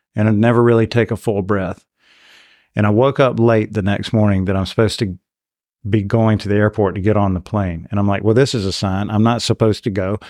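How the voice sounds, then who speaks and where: An ordinary speaking voice with an American accent, moving at a moderate pace with fairly even intonation. The sound is dry and close with no echo, and the background is quiet. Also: man. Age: 50s. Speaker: medical malpractice lawyer. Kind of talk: casual interview. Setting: in person, New Orleans.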